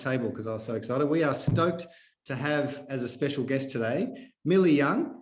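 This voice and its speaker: Audible room echo surrounds a man with a strong Australian accent as he speaks at a moderate pace in a fairly high pitch. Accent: broad Australian. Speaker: podcast host, activist runner. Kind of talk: casual interview. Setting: video call.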